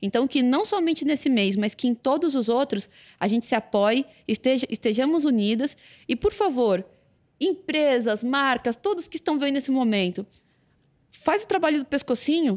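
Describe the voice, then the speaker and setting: An animated tone with very wide pitch swings comes at very even loudness, the sound dry and close with no echo. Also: woman, high pitch for a woman, very clean recording, silent background. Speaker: Paralympic sprinter. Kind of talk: podcast interview. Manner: fast.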